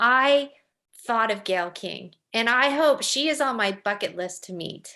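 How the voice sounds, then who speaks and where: Over a quiet background, a woman talks with lively intonation. Her voice is fairly high and bright, sharp in tone. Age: 50s. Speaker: podcast host. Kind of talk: casual chat. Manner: animated.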